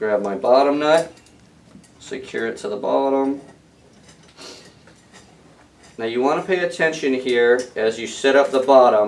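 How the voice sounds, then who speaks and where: A man at a medium tempo, his pitch moving in a typical way. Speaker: equipment demonstrator. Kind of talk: tutorial. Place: workshop.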